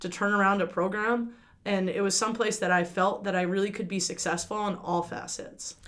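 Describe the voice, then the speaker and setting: A woman with a medium-pitched voice speaks at a fairly quick pace. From New Jersey. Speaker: college basketball coach. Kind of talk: interview. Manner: fast.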